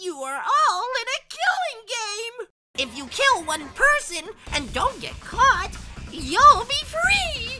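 With faint music in the background, a cartoonish character voice moves slowly through long, frequent pauses, its bright, sharp tone making big pitch swings.

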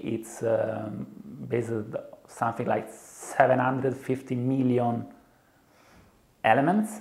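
Speaking at a fairly slow pace, a man shows ordinary pitch variation. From Italy. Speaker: software developer. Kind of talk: interview answer. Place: studio. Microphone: lapel.

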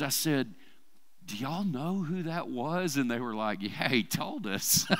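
A man with an Arkansas accent speaks at a moderate pace and fairly high pitch, his intonation lively against a quiet background. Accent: US Southern (Arkansas). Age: 50s. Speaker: church preacher. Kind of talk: sermon. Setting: church service with congregation. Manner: casual, conversational with fillers. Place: church. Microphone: headset.

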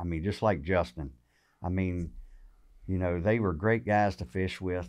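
A man speaks in a Southern US accent with a very deep, low pitch and ordinary pitch variation. The background is quiet. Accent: Southern American. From Virginia, USA. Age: 50s. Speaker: tournament bass angler; podcast guest. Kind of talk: interview answer. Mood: relaxed, friendly. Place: shop. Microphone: studio mic.

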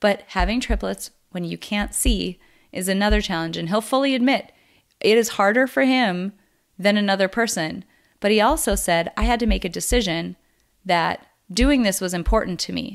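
In a very clean recording with a silent background, a woman with an American accent speaks at a moderate pace in an animated tone, showing vocal fry and ordinary pitch variation. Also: medium pitch for a woman. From US Midwest, North Dakota. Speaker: podcast host, psychologist. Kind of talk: casual interview.

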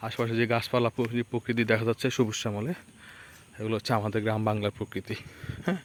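A man with a plain, everyday voice talks at medium pitch with fairly even intonation. The sound is dry and close, with no echo. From Bangladesh, Lakshmipur. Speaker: village vlogger. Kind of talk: walking vlog narration. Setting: outdoors on a muddy village road.

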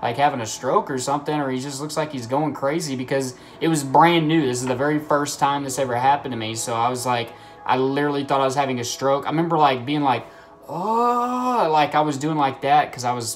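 Faint music plays in the background as a man talks at a very fast pace. His pitch varies in an ordinary way. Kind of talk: casual vlog chat. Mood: earnest, sometimes laughing. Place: home room. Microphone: phone near.

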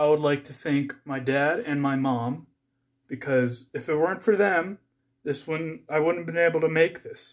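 A man speaks at a fairly slow pace against a quiet background. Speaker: amateur YouTuber. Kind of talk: casual vlog chat. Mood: grateful, modest. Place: home room. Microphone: phone near.

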